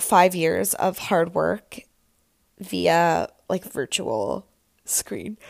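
In a raspy, put-on character voice at a middle pitch, the speaker goes at a very slow pace with long, frequent pauses. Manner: tired, dismissive.

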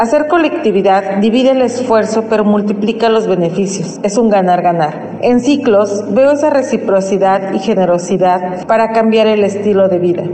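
Loudness stays very even and pauses are hardly present, with ordinary pitch variation, audible room echo and noticeable background noise. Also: woman, medium pitch for a woman, moderate pace. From Tlaxcala, Mexico. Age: 30s. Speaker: cooperative member, entrepreneur. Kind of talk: personal testimony.

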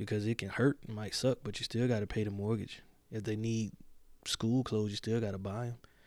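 It is a normal speaking voice, a man with fairly low pitch and fairly even intonation talking at a fairly quick pace in a very clean recording with a silent background. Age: 40s. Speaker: podcast host. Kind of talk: casual monologue.

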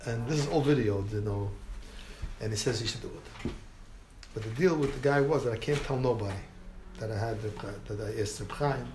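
Noticeable background noise and audible room echo surround a man with an American accent who pauses long and often. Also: medium pitch for a man, ordinary pitch variation, fairly quick pace. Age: old. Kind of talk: informal talk to a group, storytelling. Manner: animated.

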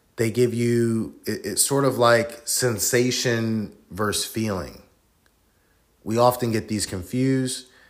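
A man speaks at medium pitch. His pace is very slow. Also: fairly even intonation. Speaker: solo podcast host. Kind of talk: casual solo monologue. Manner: reflective, inflected tone.

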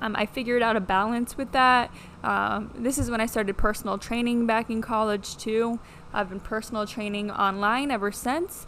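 A woman speaks with an American accent at a fairly high pitch. Her intonation stays fairly even. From US Midwest (Midland, Michigan). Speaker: physical therapist and fitness coach. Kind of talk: casual solo monologue.

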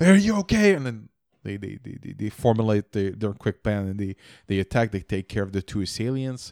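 A speaker with a slight French-Canadian accent talks at a fairly quick pace, with big swings in loudness and ordinary pitch variation. The sound is dry and close with no echo, on a very clean recording with a silent background. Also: man, fairly low pitch for a man. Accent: mild French-Canadian-accented English. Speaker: podcast co-host. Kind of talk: casual chat. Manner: halting, many repeated words.

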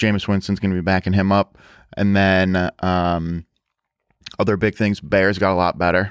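A man with a very deep, low pitch, monotone, flat intonation, very even loudness and long, frequent pauses, on a very clean recording with a silent background. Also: moderate pace, dry, close sound with no echo. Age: 20s. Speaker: podcast co-host. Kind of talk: casual chat. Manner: mumbling; slurred speech.

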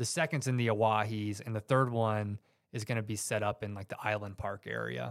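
An unremarkable speaking voice, a man with an American accent talks at a fairly quick pace in a fairly low pitch with ordinary pitch variation, in a very clean recording with a silent background. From US South, Georgia suburbs. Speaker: author and hunter. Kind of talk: casual chat.

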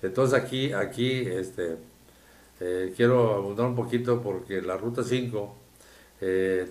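Fairly low male voice with audible room echo. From Tamaulipas, Mexico (rural Soto la Marina). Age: 70s. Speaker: engineer, businessman and local political organizer. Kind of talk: interview. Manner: halting, many repetitions.

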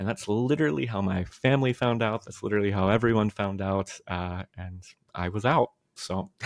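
A man with a fairly low pitch and an American accent, a plain, everyday voice, against a quiet background. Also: ordinary pitch variation, moderate pace. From US, Maryland. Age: 30s. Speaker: pastor and theologian. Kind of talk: interview conversation.

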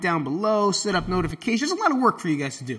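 In an American accent, a man speaks in an animated tone over noticeable background noise. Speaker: podcast host. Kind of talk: casual monologue.

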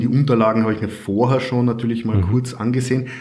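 A man with a slight Carinthian accent speaks at a medium pitch, with audible room echo. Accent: little Carinthian accent audible. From Austria, Carinthia. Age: 30s. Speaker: IT consultant and property investor. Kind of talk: interview.

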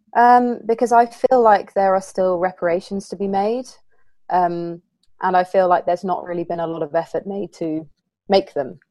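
A woman with a southern English accent speaks at a moderate pace in a dark, mellow tone, her medium pitch rising and falling in an ordinary way. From southern England. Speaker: co-host.

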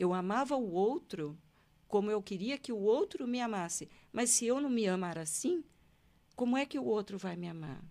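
Recorded very cleanly with a silent background, a woman's dark, mellow tone moves through very wide pitch swings. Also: medium pitch for a woman, moderate pace. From Brazil, Paraná (Londrina). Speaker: hypnotherapist, retired public prosecutor. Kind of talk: interview, life story. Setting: studio.

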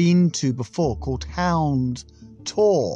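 Music plays in the background as a man talks with lively intonation at a fairly high pitch. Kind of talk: angry rant. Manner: furious, sweary, exasperated, loudly venting.

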